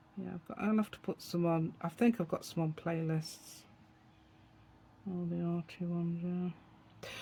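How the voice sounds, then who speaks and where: Soft-spoken delivery at a fairly slow pace. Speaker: art tutorial youtuber. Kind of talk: tutorial. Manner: gentle.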